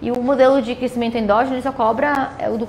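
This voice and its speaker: A woman with a high pitch for a woman talks at a very fast pace in an animated tone, with audible room echo and noticeable background noise. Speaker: economics teacher. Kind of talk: lecture. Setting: classroom with students, also streamed.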